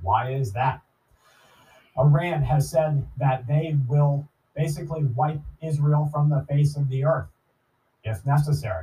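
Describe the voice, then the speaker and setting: Fairly slow and broken by long, frequent pauses, a man's fairly high, somewhat breathy voice has a dark, mellow tone and ordinary pitch variation. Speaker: prepper podcast host. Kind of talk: monologue commentary. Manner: earnest, emphatic.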